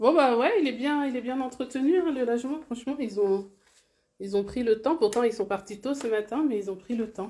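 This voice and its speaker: At a moderate pace, a woman speaks in a high voice with a dark, mellow tone and ordinary pitch variation. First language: Bambara (speaking French). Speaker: real estate investor and vlogger. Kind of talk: casual live stream walkthrough. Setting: on site in rental studio. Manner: casual, hesitant with fillers.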